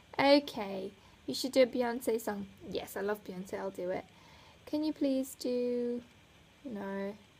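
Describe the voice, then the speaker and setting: A woman with a slight South African accent speaks at a very slow pace with long, frequent pauses, a fairly high pitch and ordinary pitch variation. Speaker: flutist vlogger. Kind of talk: casual chat.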